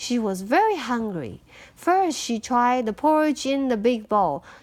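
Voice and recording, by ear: Big pitch swings run through this woman's speech. Her pitch sits fairly high. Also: fairly slow pace.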